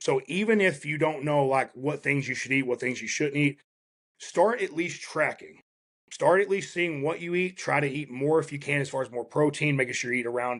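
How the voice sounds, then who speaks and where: At a moderate pace, a man with a Southern US accent talks in a fairly high pitch. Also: ordinary pitch variation. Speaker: strength and fitness coach. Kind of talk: interview conversation.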